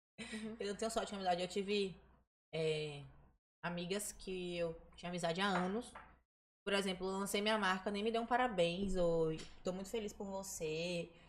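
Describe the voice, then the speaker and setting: There is audible room echo as a woman speaks at a moderate pace and medium pitch. Her intonation is fairly even, broken by long, frequent pauses. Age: 20s. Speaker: dancer. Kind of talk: casual chat.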